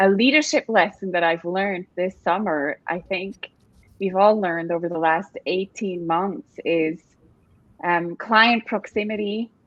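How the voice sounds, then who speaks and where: A woman with a Swiss accent at a medium pitch, fairly slow pace and ordinary pitch variation. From Switzerland. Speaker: staffing industry executive, panelist. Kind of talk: panel discussion.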